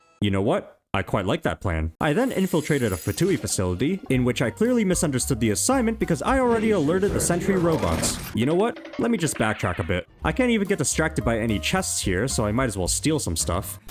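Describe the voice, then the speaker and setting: Over background music, a man with a non-native accent talks very fast at a medium pitch, with hardly any pauses, very even loudness and very wide pitch swings. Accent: non-British accent, noticeable to him. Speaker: gaming YouTuber. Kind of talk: comedic scripted gameplay narration. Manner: animated, joking.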